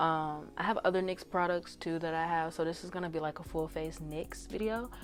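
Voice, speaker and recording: Against background music, a woman with a fairly low voice talks at a fairly quick pace with fairly even intonation. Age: 20s. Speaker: beauty vlogger. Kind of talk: casual talk to camera.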